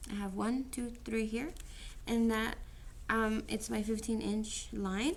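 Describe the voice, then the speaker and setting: Audible room echo surrounds a woman speaking at a very slow pace, somewhat breathy. Her pitch is fairly high, with ordinary pitch variation. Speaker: teacher. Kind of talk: tutorial.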